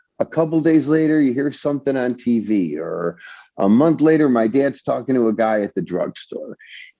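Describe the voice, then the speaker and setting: With an American accent, a man speaks at a moderate pace in a dark, mellow tone. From Chicago West Side. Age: 70s. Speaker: songwriter. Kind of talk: interview storytelling. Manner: halting with many repetitions.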